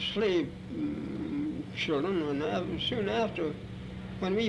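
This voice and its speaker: Noticeable background noise sits under this man's voice. He talks with lively intonation at a fairly high pitch. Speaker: former slave. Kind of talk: interview answer. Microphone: old recording.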